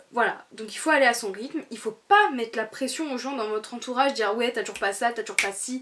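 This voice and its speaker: Lively in intonation and high in pitch, a woman speaks at a fairly quick pace. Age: 20s. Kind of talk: casual talk to camera. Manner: upbeat, chatty.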